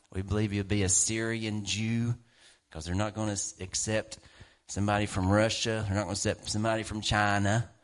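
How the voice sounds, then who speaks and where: Talking fairly quickly with an animated tone, a man uses a fairly low pitch. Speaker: preacher. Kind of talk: sermon. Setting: church. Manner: animated, emphatic preaching with repeated punchy phrases and laughter.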